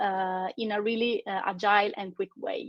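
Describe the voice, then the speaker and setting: A woman with an Italian accent speaks at a fairly high pitch. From Italy. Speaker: recruiter. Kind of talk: webinar panel talk. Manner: halting, many fillers.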